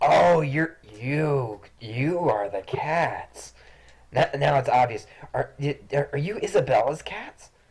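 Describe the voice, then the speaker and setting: A man's put-on character voice, fairly high-pitched, at a very slow pace with long, frequent pauses. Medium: actual play.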